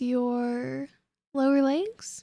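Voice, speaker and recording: A woman speaks in a playful tone. Her voice has a dark, mellow quality. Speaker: ASMR roleplay voice artist. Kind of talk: audio roleplay. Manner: teasing, playful.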